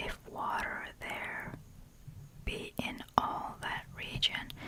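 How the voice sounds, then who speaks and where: A very slow female whisper amid noticeable background noise. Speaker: ASMR creator. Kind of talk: ASMR book reading. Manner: soft-spoken, whispered.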